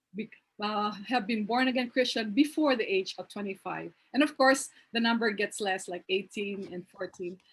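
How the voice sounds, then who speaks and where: A woman speaks at a moderate pace with a fairly high pitch. Her voice is somewhat breathy, with ordinary pitch variation. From Philippines. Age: 50s. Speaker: youth ministry teacher. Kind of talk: talk on video call. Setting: video call. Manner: casual, conversational.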